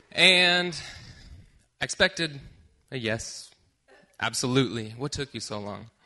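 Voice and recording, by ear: Slowly and with lively intonation, a man speaks in a medium pitch with a bright, sharp tone.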